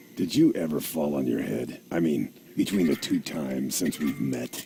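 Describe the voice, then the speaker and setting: Putting on a character voice, a man speaks at a moderate pace in a raspy, very deep, low pitch against clear background noise. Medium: video game. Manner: patient, dry.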